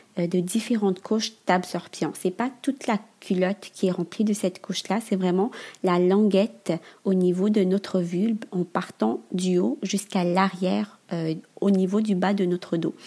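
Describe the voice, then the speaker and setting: A woman's dark, mellow tone with ordinary pitch variation and very even loudness. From Madagascar. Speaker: entrepreneur. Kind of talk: interview. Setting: remote recording.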